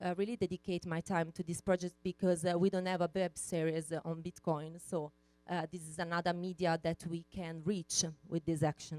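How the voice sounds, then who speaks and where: Music plays behind a woman's fairly low, monotone voice with flat intonation, and the sound is dry and close with no echo. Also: moderate pace. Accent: Italian. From Italy. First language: Italian. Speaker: conference speaker. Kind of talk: keynote talk. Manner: hesitant, many fillers.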